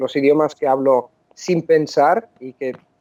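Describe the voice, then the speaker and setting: The sound is dry and close with no echo as a man speaks in a fairly high pitch with a dark, mellow tone. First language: Italian (speaking Spanish). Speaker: polyglot, language coach. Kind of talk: interview. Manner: halting, frequent self-corrections.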